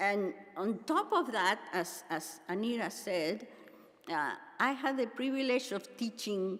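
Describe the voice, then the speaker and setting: Speaking at a fairly slow pace, a woman has a Spanish accent and a fairly high pitch. Her intonation is lively. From Argentina. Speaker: pastor and seminary teacher. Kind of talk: conference keynote address.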